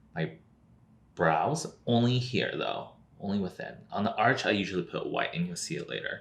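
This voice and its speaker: A man with a fairly low, somewhat breathy voice speaks at a moderate pace while his pitch swings very widely. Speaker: drag queen makeup youtuber. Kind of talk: makeup tutorial. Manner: casual, filler-heavy.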